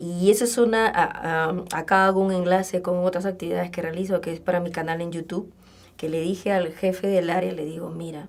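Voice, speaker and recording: Here is a woman with a plain, everyday voice. She speaks at a fairly low pitch with fairly even intonation. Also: fairly quick pace. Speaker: communication lecturer and workshop trainer. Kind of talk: radio interview.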